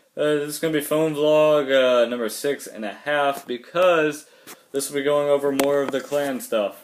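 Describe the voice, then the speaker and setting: Noticeable background noise sits behind a man at a fairly high pitch. He talks at a moderate pace with fairly even intonation. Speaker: gaming vlogger. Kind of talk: casual vlog monologue. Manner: dull, low-energy.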